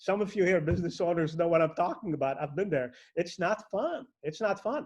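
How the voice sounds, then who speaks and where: Speaking in an animated tone at a fairly quick pace, a man with an Arabic accent has a high pitch and ordinary pitch variation. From Lebanon. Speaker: network marketing entrepreneur. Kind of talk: motivational speech.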